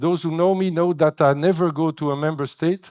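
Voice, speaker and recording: At a moderate pace, a man with a French accent speaks in a very clean recording with a silent background and a dry, close sound with no echo. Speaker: agency director. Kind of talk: keynote speech. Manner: halting.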